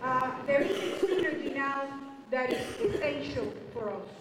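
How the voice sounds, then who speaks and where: Amid noticeable background noise and audible room echo, a woman speaks with a high pitch. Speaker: presenter. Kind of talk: public speech. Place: hall.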